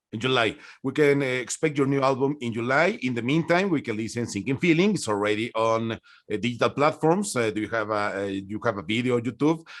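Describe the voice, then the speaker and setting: The speaker talks very fast in a Spanish accent with lively intonation. The recording is very clean, with a silent background. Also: man, medium pitch for a man. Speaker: music interviewer. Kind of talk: interview. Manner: halting.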